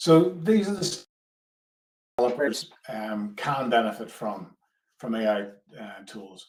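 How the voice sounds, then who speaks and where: In an Irish accent, a man talks at a fairly slow pace with very wide pitch swings and long, frequent pauses. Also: medium pitch for a man. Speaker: product manager. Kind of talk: webinar presentation. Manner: hesitant, many fillers.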